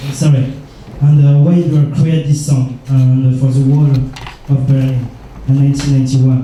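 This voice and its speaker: Speaking at a fairly slow pace, a man with a fairly high pitch holds a monotone, flat intonation and very even loudness, with noticeable background noise and audible room echo. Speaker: radio journalist. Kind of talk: press conference question. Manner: halting.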